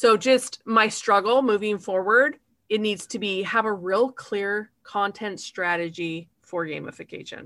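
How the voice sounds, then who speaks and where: Bright and sharp in tone, a woman's medium-pitched voice moves at a fairly slow pace. Her pitch varies in an ordinary way. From Utah. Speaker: gamification consultant. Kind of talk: interview.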